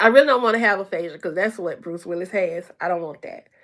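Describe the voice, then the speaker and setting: A woman talks in a bright, sharp tone. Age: 50s. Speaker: reaction video streamer. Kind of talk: live stream chat. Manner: halting.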